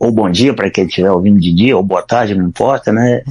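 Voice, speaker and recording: Ordinary pitch variation from a male speaker, the backdrop quiet. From Brazil, Ceará (Northeast). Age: 60s. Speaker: retired-age programmer, blind since infancy. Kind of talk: podcast interview.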